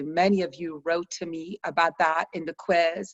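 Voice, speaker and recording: Speaking in a calm tone, a woman uses a fairly low pitch. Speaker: stress reduction coach. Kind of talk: online course session. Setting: video call. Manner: slow, calm.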